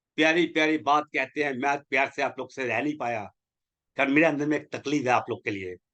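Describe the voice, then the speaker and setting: Speaking at a moderate pace, a man has a fairly high pitch, a bright, sharp tone and ordinary pitch variation. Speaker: network marketing leader. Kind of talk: motivational webinar talk. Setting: online webinar. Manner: animated, exhorting; blunt.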